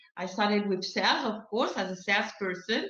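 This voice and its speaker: A woman with a French accent at a medium pitch, with audible room echo. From France. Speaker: sales consultant and coach. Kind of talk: interview. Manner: halting.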